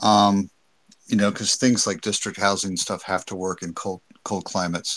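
With an ordinary speaking voice, a man talks at a moderate pace and a fairly low pitch on a very clean recording with a silent background. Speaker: live stream participant. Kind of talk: casual chat.

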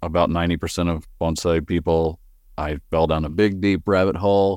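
On a very clean recording with a silent background, a man with a slight Texan accent and a very deep, low pitch speaks at a moderate pace in a monotone, flat intonation. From West Texas. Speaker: bonsai grower and nursery owner. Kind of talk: casual interview.

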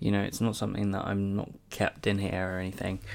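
A fairly low-voiced man with an English accent at a fairly quick pace, in a very clean recording with a silent background. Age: 20s. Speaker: podcast host. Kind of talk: casual monologue. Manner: hesitant.

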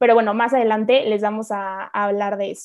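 The woman speaks at a fairly high pitch with fairly even intonation. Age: 20s. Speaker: podcast co-host, university student. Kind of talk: casual chat.

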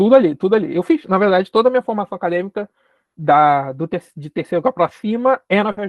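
Talking very fast with a Carioca accent, a man uses a high-pitched voice and lively intonation. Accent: carioca Brazilian Portuguese. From Rio de Janeiro, Brazil. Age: 20s. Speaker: geography lecturer and doctoral student. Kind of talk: interview conversation.

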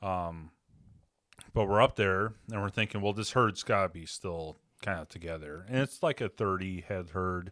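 A man's very deep, low voice with an American accent, ordinary pitch variation and a moderate pace, on a very clean recording with a silent background. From Western Washington, US. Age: 40s. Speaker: hunter and angler. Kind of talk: casual chat.

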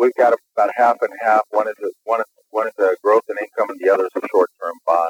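Fairly quick speech with hardly any pauses and a dry, close sound with no echo. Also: man. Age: 40s. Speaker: caller. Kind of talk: call-in question.

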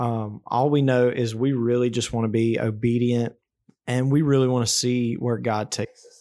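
A man with an Alabama accent speaks at a moderate pace in a dark, mellow tone, monotone and flat in pitch but with big swings in loudness. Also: medium pitch for a man. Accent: Southern US (Alabama). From US South, South Alabama. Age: 20s. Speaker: podcast co-host, construction worker. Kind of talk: casual chat.

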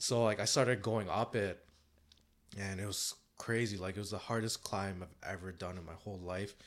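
A man with a normal speaking voice and a Canadian accent, fairly low in pitch and fairly even in intonation, at a moderate pace with big swings in loudness, in a very clean recording with a silent background. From Canada (Toronto). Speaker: entrepreneur and rock musician. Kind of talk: casual interview.

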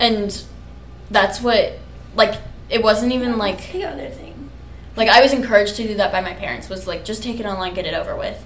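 A woman with an American accent talks at a fairly quick pace, her loudness swinging widely. Room echo is audible, along with noticeable background noise. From Kansas, US Midwest. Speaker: podcast co-host. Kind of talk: casual chat.

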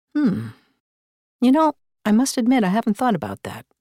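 Speaking with an American accent and vocal fry, a woman moves through very wide pitch swings at a moderate pace. The recording is very clean, with a silent background and a dry, close sound with no echo. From Northern Illinois. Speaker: audiobook narrator and director. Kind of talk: casual interview. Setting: studio.

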